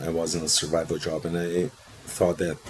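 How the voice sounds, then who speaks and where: Over noticeable background noise, a man speaks in a very deep, low pitch. He has a Portuguese accent and keeps a moderate pace. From Brazil. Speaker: procurement professional, interview guest. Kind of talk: casual interview.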